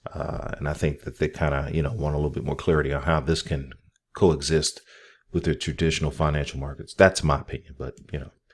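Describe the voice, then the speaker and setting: A man speaks fairly quickly with an American accent. His voice is very deep and low, with vocal fry. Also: very clean recording, silent background. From northern US, steel town region. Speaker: crypto YouTuber. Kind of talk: casual vlog commentary. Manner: fast; animated.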